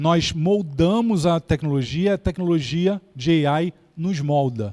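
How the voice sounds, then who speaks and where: Speaking in a Carioca accent, a man with a high pitch and a dark, mellow tone shows ordinary pitch variation, in a dry, close sound with no echo and a very clean recording with a silent background. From Brazil, Rio de Janeiro. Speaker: keynote speaker on AI. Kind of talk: lecture.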